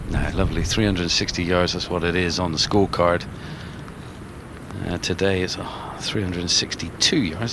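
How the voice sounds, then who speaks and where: A man with a very deep, low pitch speaks at a moderate pace with fairly even intonation, amid audible room echo and noticeable background noise. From England, Bristol. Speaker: golf commentator. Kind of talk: live commentary.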